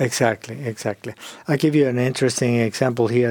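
A man with a medium pitch talks at a moderate pace with a Spanish accent and fairly even intonation. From Argentina. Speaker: psychologist and author. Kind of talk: interview.

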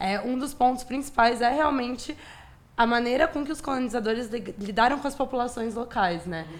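A woman speaks at a moderate pace in a normal speaking voice. Her pitch is fairly high, with ordinary pitch variation. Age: 20s. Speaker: architecture student. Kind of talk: casual interview.

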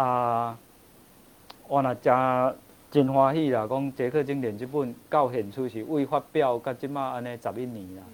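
This man has a plain, everyday voice. His delivery is fairly slow. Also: medium pitch for a man, fairly even intonation. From Taiwan. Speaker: author and Czech culture expert. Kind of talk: interview on a livestream talk show. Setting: livestream studio.

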